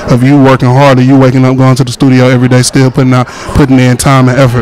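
A man at a very fast pace, dry sound with no echo, light background noise behind him. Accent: American. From Atlanta, US South. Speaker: radio reporter. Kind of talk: red carpet interview. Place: hall. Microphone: handheld.

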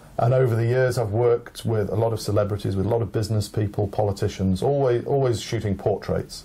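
The pace is fairly quick and the loudness very even. The intonation is monotone and flat. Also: man. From England. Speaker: photographer. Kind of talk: speech, then interview. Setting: library event.

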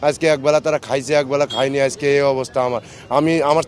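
A man speaks over noticeable background noise. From northern Bangladesh. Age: 30s. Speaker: released former border guard soldier. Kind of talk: emotional testimony to reporters.

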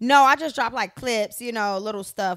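Against a quiet background, a woman talks at a fairly quick pace with lively intonation. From US Midwest. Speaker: reality TV personality and entertainer. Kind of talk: casual chat. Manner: casual, laughs often. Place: home room. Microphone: handheld.

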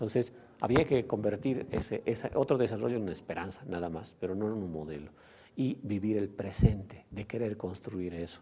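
Dark, mellow male voice at a moderate pace with ordinary pitch variation. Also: fairly low pitch for a man. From Bolivia. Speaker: sociologist and former education official; interviewee. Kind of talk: interview monologue; interview answer. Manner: halting, many fillers and repetitions. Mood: calm, thoughtful. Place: studio. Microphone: lapel.

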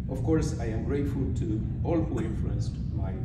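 A man is heard over loud background noise with audible room echo. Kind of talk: formal acceptance speech. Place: hall. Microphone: podium.

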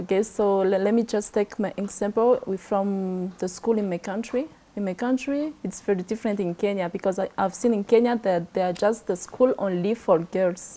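Hardly any pauses break up this woman's speech. Her tone is dark and mellow, with ordinary pitch variation. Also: moderate pace. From Madagascar. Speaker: youth exchange participant; guest, girl guide. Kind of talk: TV talk show interview. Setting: studio. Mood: friendly, smiling. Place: studio. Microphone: lapel.

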